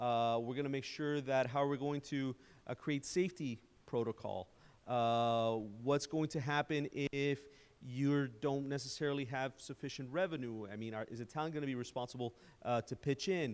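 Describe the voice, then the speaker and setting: A man speaks at medium pitch with fairly even intonation. The recording is very clean, with a silent background. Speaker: presenter on public-private partnerships. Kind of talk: presentation at town council workshop. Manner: fast.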